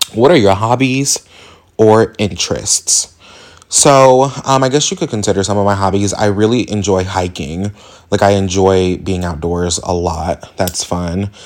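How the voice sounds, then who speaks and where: Speaking with an American accent, a man of fairly low pitch and ordinary pitch variation takes a fairly slow pace. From Indianapolis, Indiana, US Midwest. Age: 20s. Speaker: podcast host. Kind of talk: casual monologue. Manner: halting, many fillers.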